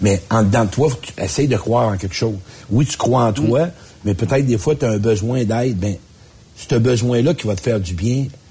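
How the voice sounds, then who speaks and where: A man with a medium pitch and a dark, mellow, somewhat breathy tone speaks. His pace is fairly quick, and his pitch varies in an ordinary way. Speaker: life coach. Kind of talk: casual chat.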